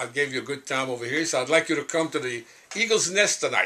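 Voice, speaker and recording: A man's fairly high voice in a Cajun accent, with ordinary pitch variation. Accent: Cajun Louisiana English. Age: 80s+. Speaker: singer-songwriter. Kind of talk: interview storytelling. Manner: hesitant, halting.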